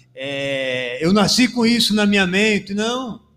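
Using lively intonation, a man speaks at a very slow pace. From Bahia, Brazil (Canudos). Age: 40s. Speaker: pastor and radio presenter. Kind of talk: casual chat. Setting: studio. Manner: halting.

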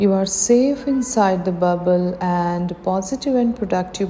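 Noticeable background noise sits behind a woman speaking very slowly in a calm, soothing tone at a medium pitch with ordinary pitch variation. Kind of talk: guided meditation. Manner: slow, calm, soothing; gentle, encouraging, with pauses.

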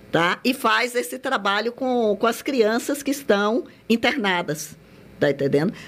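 Recorded very cleanly with a silent background, a woman with vocal fry and a fairly high pitch speaks at a moderate pace with lively intonation. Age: 60s. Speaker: lawyer and senior-care network founder. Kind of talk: radio interview.

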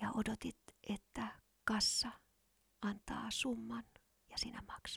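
A woman's voice in a dry, close sound with no echo. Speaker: podcast host. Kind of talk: whispered ASMR monologue, intimate and sensual, like a close-mic love confession. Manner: soft, slow, breathy and hushed, dreamy and teasing, with kisses at the end.

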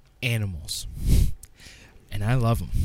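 A man's voice with very wide pitch swings. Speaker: awards host. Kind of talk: comedy awards-show host bit. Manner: loud, excitable, mock-pompous, gleefully over the top.

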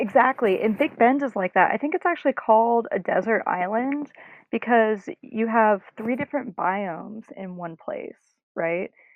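Speaking in an American accent with a plain, everyday voice, a woman talks at a moderate pace with a fairly high pitch and lively intonation. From North Carolina. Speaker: rock climber. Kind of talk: casual chat.

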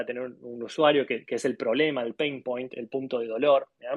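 A man with an Argentine accent speaks at a moderate pace with fairly high pitch. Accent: Argentine Spanish (Rioplatense). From Argentina. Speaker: graphic designer and design studio CEO. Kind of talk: interview. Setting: live audio room on social media.

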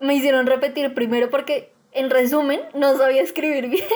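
Her voice is high-pitched, and the woman speaks at a moderate pace. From Colombia, Bogotá. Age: young. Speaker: education student. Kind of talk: interview.

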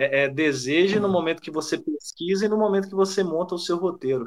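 Ordinary pitch variation in a man's high voice. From São Domingos do Prata, Minas Gerais, Brazil. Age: 30s. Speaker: civil servant and traveller. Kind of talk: casual chat.

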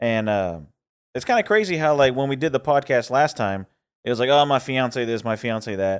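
With an unremarkable speaking voice, a man at medium pitch talks at a moderate pace with lively intonation, recorded very cleanly against a silent background. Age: 30s. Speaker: podcast co-host. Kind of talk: casual chat.

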